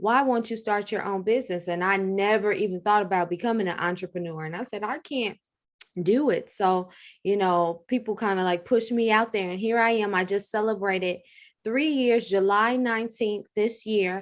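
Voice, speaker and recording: A woman speaks with an American accent at a moderate pace. Hers is a plain, everyday voice. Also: medium pitch for a woman, ordinary pitch variation, quiet background. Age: 30s. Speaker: funeral home owner. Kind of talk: interview.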